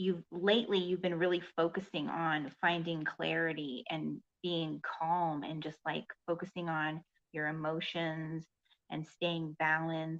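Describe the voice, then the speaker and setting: A soft-spoken woman talks at a fairly slow pace in a fairly low pitch. Her intonation stays monotone and flat. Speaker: psychic card reader. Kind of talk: tarot card reading. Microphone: voice may sound quiet.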